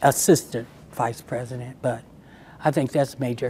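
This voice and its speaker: Words come at a moderate pace. The speaker talks with an American accent. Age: 60s. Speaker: local historian and playwright. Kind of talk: interview. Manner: halting, frequent fillers.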